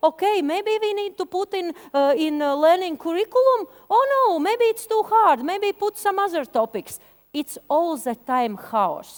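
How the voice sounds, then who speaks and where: With a Latvian accent, a woman speaks at an extremely high pitch and a fairly slow pace, her voice swinging very widely in pitch, in a dry, close sound with no echo. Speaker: media education expert. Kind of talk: conference presentation. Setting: stage with audience. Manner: halting.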